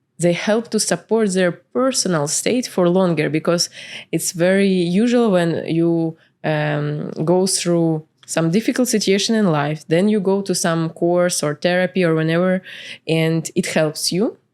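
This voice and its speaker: A woman with a Ukrainian accent speaks at a fairly low pitch with ordinary pitch variation and very even loudness. The recording is very clean, with a silent background. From Ukraine, Kyiv. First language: Ukrainian or Russian. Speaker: entrepreneur and spiritual coach. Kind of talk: podcast interview. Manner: hesitant, many fillers.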